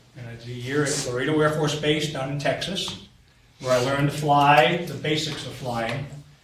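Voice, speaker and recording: Amid noticeable background noise and audible room echo, a man with an American accent speaks at a fairly slow pace and a fairly high pitch. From New Hampshire, US. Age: 60s. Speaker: war veteran. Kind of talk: talk to students.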